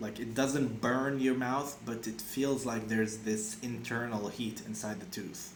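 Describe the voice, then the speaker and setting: A man talks at a medium pitch, his pitch varying in an ordinary way, with audible room echo around him. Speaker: vlogger sharing personal experience. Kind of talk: casual monologue. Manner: halting, many fillers and restarts.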